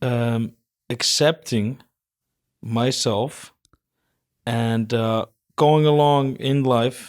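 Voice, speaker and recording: A man with an Icelandic accent speaks at a medium pitch in a very clean recording with a silent background. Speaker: fitness personality. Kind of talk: casual chat.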